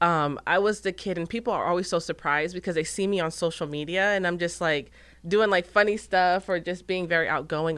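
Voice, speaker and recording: With an American accent, a woman speaks at a moderate pace and fairly low pitch, her tone bright and sharp with ordinary pitch variation, on a very clean recording with a silent background. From Arizona. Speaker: business owner and social media influencer. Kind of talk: interview.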